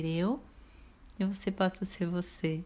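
A calm, somewhat breathy voice in a Brazilian accent at a very slow pace. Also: woman. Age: 30s. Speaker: podcast host, therapist. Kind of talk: reflective solo monologue.

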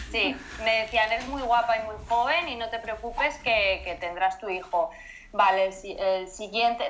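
Amid noticeable background noise, a woman with a fairly high pitch talks at a moderate pace with ordinary pitch variation. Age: 20s. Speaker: mother sharing pregnancy loss story. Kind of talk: testimony interview.

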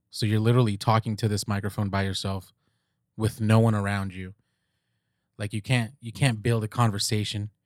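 Over a very clean recording with a silent background, the speech moves at a fairly quick pace in a monotone, flat intonation, broken by long, frequent pauses. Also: man, fairly low pitch for a man, dry, close sound with no echo. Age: 30s. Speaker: podcast host. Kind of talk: casual monologue. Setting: recording alone. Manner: relaxed, rambling with fillers.

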